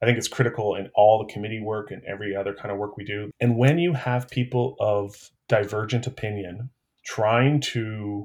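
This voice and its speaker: A somewhat breathy man's voice at medium pitch, with ordinary pitch variation and a moderate pace. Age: 40s. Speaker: city council candidate. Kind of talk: interview.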